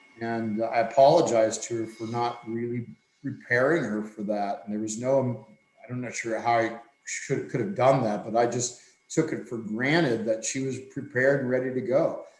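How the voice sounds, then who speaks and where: With audible room echo, a man at a medium pitch talks at a moderate pace in fairly even intonation. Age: 60s. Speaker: swimming coach. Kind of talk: podcast discussion.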